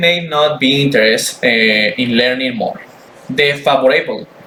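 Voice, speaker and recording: A man speaks with a non-native accent. There is audible room echo and noticeable background noise. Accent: non-native English, weak pronunciation. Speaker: student. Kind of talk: class presentation. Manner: halting, repeats words.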